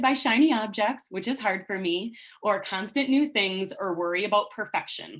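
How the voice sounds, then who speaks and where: Over a quiet background, a woman speaks at medium pitch with lively intonation. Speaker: speech-language pathologist presenting at a conference. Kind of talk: conference presentation. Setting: live online conference. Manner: fast.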